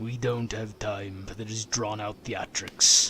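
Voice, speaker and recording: A man's put-on character voice, raspy and medium-pitched, with monotone, flat intonation and a fairly slow pace. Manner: impatient, stern.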